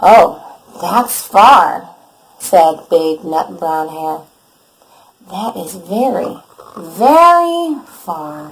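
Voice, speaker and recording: Using a put-on character voice, a woman speaks at a very slow pace in a fairly low pitch with a warm, gentle tone, leaving long, frequent pauses. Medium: read story.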